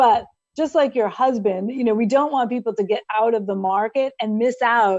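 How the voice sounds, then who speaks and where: Moderately paced speech in an unremarkable speaking voice, with ordinary pitch variation. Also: woman. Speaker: financial executive. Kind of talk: interview.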